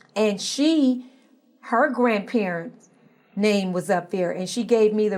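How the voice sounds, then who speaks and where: With an American accent, a woman speaks in an unremarkable speaking voice. Her pace is fairly slow. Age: 60s. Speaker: social activist. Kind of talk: interview.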